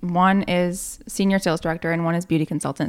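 In an American accent, a woman with an unremarkable speaking voice talks at a fairly quick pace, fairly low in pitch with ordinary pitch variation. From northern New York. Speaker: Mary Kay sales consultant. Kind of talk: casual chat. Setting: studio.

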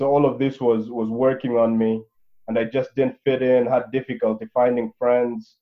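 The man's pitch is medium and his pace is moderate. He speaks with a monotone, flat intonation. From Africa. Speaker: stress-management company founder. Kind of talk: interview. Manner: hesitant, many filler words.

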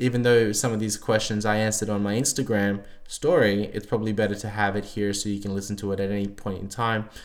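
Speaking at a fairly quick pace, a man has an unremarkable speaking voice and a fairly low pitch. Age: 30s. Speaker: bodybuilding coach and podcast host. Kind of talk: solo Q&A podcast.

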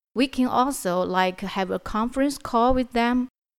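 In a very clean recording with a silent background, a woman with a Chinese accent speaks with fairly even intonation. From China, Hunan Province. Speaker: client manager, sourcing specialist. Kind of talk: business interview. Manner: halting.

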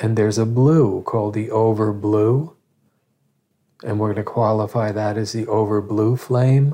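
A man's fairly low, dark, mellow voice, in a calm tone with fairly even intonation. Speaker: meditation teacher. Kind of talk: guided meditation. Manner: calm, slow, instructive; reassuring, earnest.

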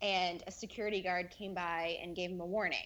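Speaking in a plain, everyday voice, a woman keeps her intonation fairly even at a medium pitch. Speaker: former theme park cast member. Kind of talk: casual chat.

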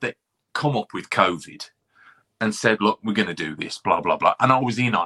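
With a Birmingham accent, a man speaks in a bright, sharp tone with very wide pitch swings, recorded with a dry, close sound and no echo. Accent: Birmingham (Brummie). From England, Birmingham. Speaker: podcast guest, commentator. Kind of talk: casual chat.

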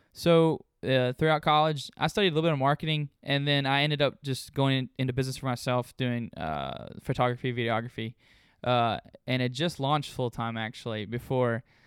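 With a Southern US accent, a man delivers his words at a fairly quick pace. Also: medium pitch for a man, ordinary pitch variation. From US South, Memphis and north Mississippi. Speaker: podcast co-host. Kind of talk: casual chat. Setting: home recording.

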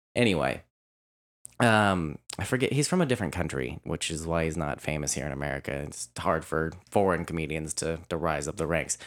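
Vocal fry runs through a man's very deep, low voice as he speaks at a fairly quick pace. The recording is very clean, and the background is silent. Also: ordinary pitch variation. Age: 20s. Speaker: podcast co-host. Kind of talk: casual chat.

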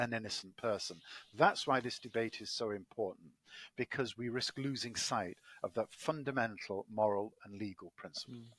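A man with an English accent, big swings in loudness, and a dry, close sound with no echo. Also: medium pitch for a man, ordinary pitch variation, moderate pace. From Manchester, England. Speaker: law professor and ethicist. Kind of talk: expert interview. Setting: call from the UK.

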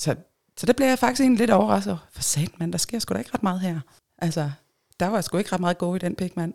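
Very fast and lively in intonation, a woman with a medium pitch and vocal fry speaks in a dry, close sound with no echo. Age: 40s. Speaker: swinger guest. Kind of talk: casual chat.

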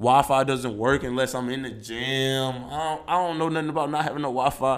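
Moderately paced male speech at medium pitch, its intonation fairly even. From US Midwest, St. Louis, Missouri. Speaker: professional basketball player. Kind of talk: interview.

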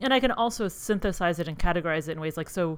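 This woman's pitch is fairly low, and she uses an ordinary speaking voice with ordinary pitch variation. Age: 30s. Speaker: psychology professor and podcast co-host. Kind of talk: casual chat. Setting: video call.

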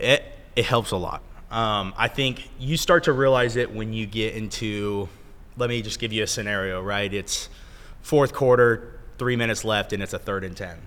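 This man has a plain, everyday voice, medium in pitch, moving at a moderate pace with ordinary pitch variation. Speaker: college football player. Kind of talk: casual interview.

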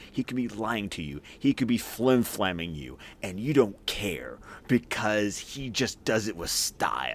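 A man speaks at a fairly slow pace in a fairly low voice with vocal fry and very wide pitch swings, recorded very cleanly against a silent background. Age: 30s. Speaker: podcaster. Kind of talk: casual chat. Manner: animated.

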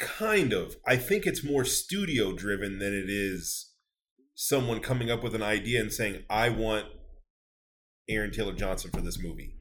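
At a moderate pace, a man with an ordinary speaking voice talks at a medium pitch with ordinary pitch variation. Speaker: podcast co-host. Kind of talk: casual chat.

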